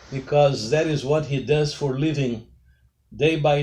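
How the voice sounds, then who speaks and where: With a Brazilian accent, the speaker talks fairly slowly in a somewhat breathy voice with fairly even intonation. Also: man. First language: Portuguese. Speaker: pastor. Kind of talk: interview. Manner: formal.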